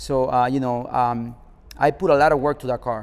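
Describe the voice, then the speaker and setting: A man talks with a Spanish accent. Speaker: car club founder. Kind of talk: interview. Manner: hesitant, many fillers.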